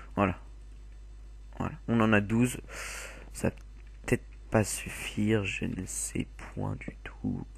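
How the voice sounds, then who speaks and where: A man talks very slowly, pausing often and at length. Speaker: gaming video creator. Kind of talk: gameplay commentary.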